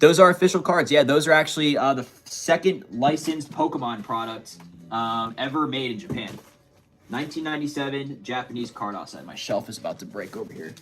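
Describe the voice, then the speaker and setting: A man with a plain, everyday voice talks at a fairly quick pace in a fairly high pitch, with lively intonation and big swings in loudness. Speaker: card collector livestreamer. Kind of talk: live stream chat. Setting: live stream. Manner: casual, chatty.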